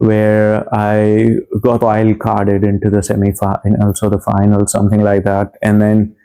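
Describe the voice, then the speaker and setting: A man with a fairly low voice speaks against noticeable background noise. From India. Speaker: comedian and nurse. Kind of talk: interview testimony. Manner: halting, many fillers.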